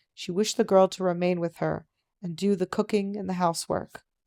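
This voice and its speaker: A soft-spoken woman at medium pitch with a dark, mellow tone, a fairly quick pace, and a dry, close sound with no echo. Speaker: audiobook narrator. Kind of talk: reading aloud.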